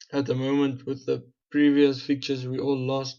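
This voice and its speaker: A man with a South African accent talks at a moderate pace and medium pitch. His tone is dark and mellow, and his intonation is monotone and flat. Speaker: gaming YouTuber. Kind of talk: gameplay commentary.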